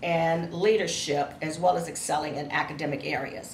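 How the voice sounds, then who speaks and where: Speaking at a moderate pace with an American accent, a woman's fairly low voice carries audible room echo. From Cleveland, Ohio, US Midwest. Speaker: education professor. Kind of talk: lecture. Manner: animated.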